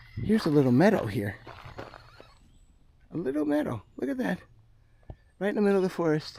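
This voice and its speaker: A man with an American accent and a fairly high pitch speaks over noticeable background noise. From United States. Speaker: music teacher and vlogger. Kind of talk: casual walking vlog monologue. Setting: outdoors in a forest. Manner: quiet.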